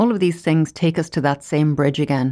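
In a very clean recording with a silent background, the speaker talks at a fairly quick pace with an Irish accent. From Ireland. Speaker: podcast host, career coach. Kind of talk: solo podcast monologue.

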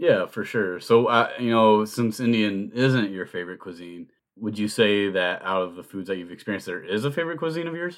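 A fairly low-pitched man at a fairly quick pace with hardly any pauses and big swings in loudness, on a very clean recording with a silent background. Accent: American. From US Midwest (Ohio). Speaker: podcast host. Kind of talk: casual chat.

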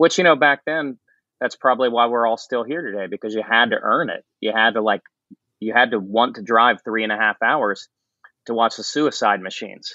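This is a normal speaking voice from a man at medium pitch. He talks at a fairly quick pace with ordinary pitch variation. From West Virginia. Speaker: singer-guitarist. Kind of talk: casual interview chat.

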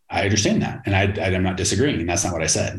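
This man's voice is somewhat breathy. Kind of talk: pitchman rant. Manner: brash, punchy, sarcastic hard-sell.

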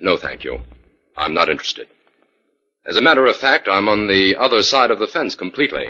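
Fairly low-pitched, a man uses a put-on character voice with a bright, sharp tone, big pitch swings and a fairly quick pace.

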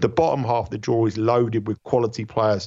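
A man with a British accent at medium pitch, talking at a very fast pace. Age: 50s. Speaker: tennis handicapper. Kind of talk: radio sports betting interview.

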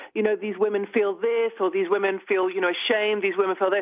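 This is a woman speaking. She has a British accent. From United Kingdom. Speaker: newspaper columnist. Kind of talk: interview. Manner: outspoken.

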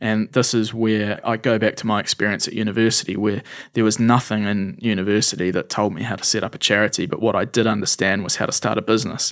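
A man with a New Zealand accent speaks very fast in a fairly low voice, his intonation flat and monotone, with hardly any pauses. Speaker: charity founder. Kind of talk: interview conversation.

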